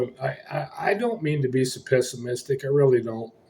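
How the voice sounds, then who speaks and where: A man with a dark, mellow tone and a somewhat breathy voice talks at a moderate speed, his pitch varying in an ordinary way. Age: 60s. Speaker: homeless vlogger. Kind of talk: casual vlog update. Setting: motel room. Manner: agitated, ranting.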